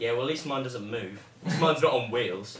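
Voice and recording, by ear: A man is talking. Noticeable background noise runs under his voice.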